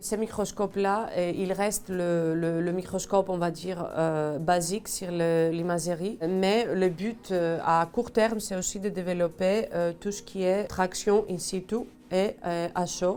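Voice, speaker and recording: A woman with a Greek accent speaks very slowly at medium pitch, with fairly even intonation and hardly any pauses. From Greece. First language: Greek (speaking French). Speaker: electron microscopy engineer. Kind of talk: workplace portrait interview. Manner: hesitant, many fillers.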